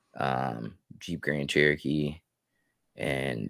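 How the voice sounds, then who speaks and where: Very deep and low, a man's voice carries vocal fry and fairly even intonation at a very slow pace. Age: 30s. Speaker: tattoo artist. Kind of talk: casual chat.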